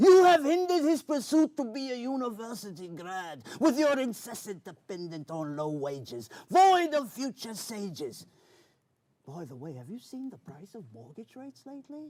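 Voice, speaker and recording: Putting on a character voice, a man talks at a moderate pace with an extremely high pitch and very wide pitch swings. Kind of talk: spoken word poetry performance. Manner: theatrical, old-fashioned pirate speech.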